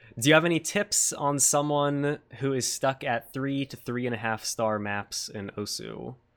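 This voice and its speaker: With an American accent, a man uses an ordinary speaking voice at medium pitch, moderate pace and ordinary pitch variation, with hardly any pauses. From United States. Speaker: podcast host. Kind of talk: casual interview. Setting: live stream.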